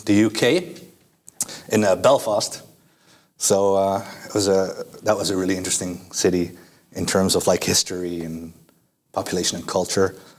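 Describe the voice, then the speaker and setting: With a Dutch accent, a man speaks in a fairly low pitch with ordinary pitch variation, leaving long, frequent pauses. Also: moderate pace. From Netherlands. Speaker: student. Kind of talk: casual interview. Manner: hesitant, many fillers.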